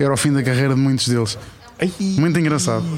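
A man talks at a moderate pace and medium pitch, with ordinary pitch variation. Audible room echo and noticeable background noise surround him. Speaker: food-loving TV writer and personality. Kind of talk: casual chat over lunch. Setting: restaurant, recorded outdoors.

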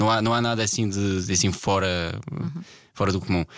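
A man speaks with a fairly low pitch and ordinary pitch variation. It is a normal speaking voice. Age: 20s. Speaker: guitarist and producer. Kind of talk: casual chat.

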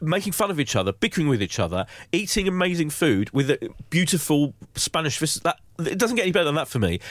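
A very fast man's voice, fairly high in pitch with vocal fry, very wide pitch swings and very even loudness, on a very clean recording with a silent background. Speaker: magazine entertainment director and podcast host. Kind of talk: casual chat. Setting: studio.

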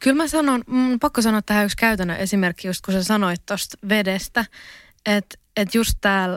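A woman with a normal speaking voice talks at medium pitch and a moderate pace, with ordinary pitch variation, in a very clean recording with a silent background and a dry, close sound with no echo. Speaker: university student, podcaster. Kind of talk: casual interview. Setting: studio.

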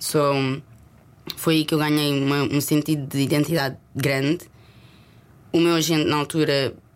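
Her voice very deep and low, a woman speaks at a moderate pace in a monotone, flat intonation. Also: long, frequent pauses, very even loudness. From Portugal. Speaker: actress. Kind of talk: casual chat.

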